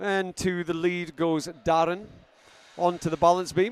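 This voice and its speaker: A man with a Scottish accent speaks at a high pitch. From Scotland. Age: 50s. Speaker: sports commentator. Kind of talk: live commentary. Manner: animated.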